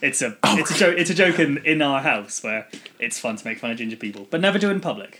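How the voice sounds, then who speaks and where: With lively intonation, a man talks as noticeable background noise plays beneath him. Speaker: podcast co-host. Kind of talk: casual chat.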